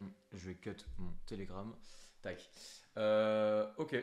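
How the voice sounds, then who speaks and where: A man talks at a very slow pace, with fairly low pitch and fairly even intonation. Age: 20s. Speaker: business coach, interviewer. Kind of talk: interview. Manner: casual.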